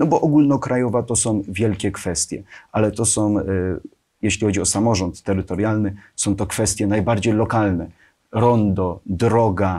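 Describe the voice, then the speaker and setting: A man speaks in a normal speaking voice at a fairly slow pace and fairly low pitch, with ordinary pitch variation and a quiet background. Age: 20s. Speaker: local politician. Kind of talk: interview. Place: studio. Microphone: lapel.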